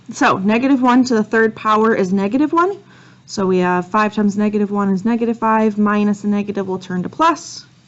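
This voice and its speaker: A woman's unremarkable speaking voice, fairly high in pitch, with ordinary pitch variation and a fairly quick pace. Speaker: math teacher. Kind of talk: lecture.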